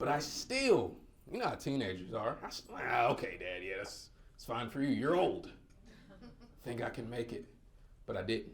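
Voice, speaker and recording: A man with a slight Southern US accent speaks at a moderate pace, leaving long, frequent pauses. Audible room echo is present. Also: big swings in loudness. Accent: slight Southern twang. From North Carolina. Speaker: motivational speaker. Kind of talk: keynote speech. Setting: stage with audience. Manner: animated.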